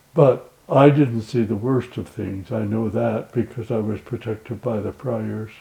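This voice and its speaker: Speaking at a fairly slow pace with long, frequent pauses, a man uses a medium pitch with ordinary variation, a dark, mellow tone, and vocal fry. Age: 80s+. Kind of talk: interview answer.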